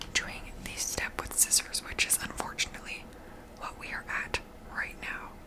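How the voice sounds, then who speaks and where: Someone whispers in a relaxed tone at a moderate pace. Noticeable background noise can be heard. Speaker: ASMR creator. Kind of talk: ASMR craft tutorial, casual talk to camera. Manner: soft-spoken, relaxed, casual.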